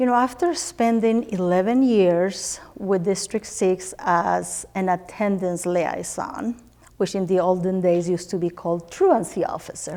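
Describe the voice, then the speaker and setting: A woman talks with a Spanish accent and ordinary pitch variation. Her tone is dark and mellow. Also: medium pitch for a woman, fairly slow pace, very even loudness. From Spanish-speaking country, immigrated to US. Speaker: teacher. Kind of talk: interview.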